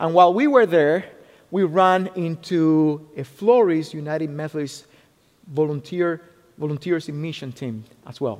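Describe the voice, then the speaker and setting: With a Spanish accent, a man speaks at a moderate pace and a fairly high pitch, with ordinary pitch variation and big swings in loudness. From Cuba. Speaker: military chaplain. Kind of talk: sermon. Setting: church.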